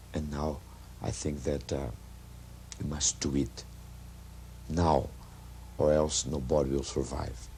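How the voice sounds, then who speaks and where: A man speaks in a very deep, low pitch with vocal fry and a dark, mellow tone, in a Brazilian Portuguese accent. His fairly slow delivery has fairly even intonation and long, frequent pauses, with audible room echo. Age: 40s. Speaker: actor. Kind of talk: street interview.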